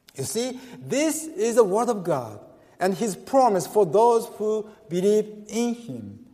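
Over noticeable background noise, a man speaks at a very slow pace in a high voice with lively intonation. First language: Japanese. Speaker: pastor. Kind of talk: sermon. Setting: church. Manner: halting.

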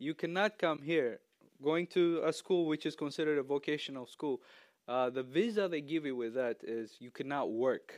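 A man talks with an East African accent in a fairly high voice. His pitch varies in an ordinary way, and the sound is dry and close with no echo. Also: moderate pace, quiet background. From Ethiopia, raised in Tanzania. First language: not English. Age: young. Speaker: church member giving sermon. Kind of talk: sermon. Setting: church stage with audience. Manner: casual and humorous.

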